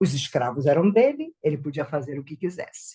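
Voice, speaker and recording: The voice is somewhat breathy and moves through very wide pitch swings. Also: woman. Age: 60s. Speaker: spiritist speaker. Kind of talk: talk.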